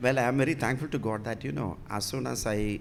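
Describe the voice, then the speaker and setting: A man with a Keralan accent speaks at a very fast pace with lively intonation, amid audible room echo. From Kerala, India. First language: Malayalam. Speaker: bishop. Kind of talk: interview. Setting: church. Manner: halting.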